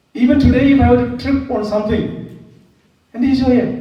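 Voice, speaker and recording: The speaker has a Keralan accent. The pace is moderate. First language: Malayalam. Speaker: priest lecturer. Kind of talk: lecture.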